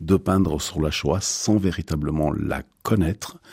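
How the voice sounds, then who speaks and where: Very deep and low, this man's voice has vocal fry and a dark, mellow tone, delivered at a fairly slow pace. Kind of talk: radio interview.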